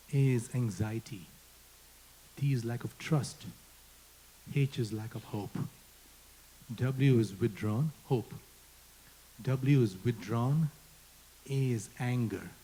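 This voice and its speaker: Someone speaks very slowly with an Indian accent, somewhat breathy and dark, mellow in tone, with ordinary pitch variation and long, frequent pauses. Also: man. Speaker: panel moderator. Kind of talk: panel discussion.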